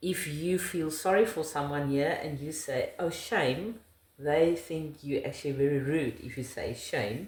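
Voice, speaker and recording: In a South African accent, a woman speaks fairly slowly with a very deep, low pitch and ordinary pitch variation. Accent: South African Afrikaans. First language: Afrikaans. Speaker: interviewee, wife of the channel host. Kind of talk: casual interview chat.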